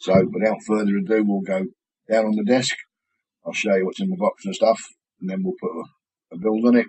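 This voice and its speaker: Speaking at a fairly quick pace with a British accent, a man leaves long, frequent pauses. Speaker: vaping product reviewer. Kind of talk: product review tutorial. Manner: casual, conversational.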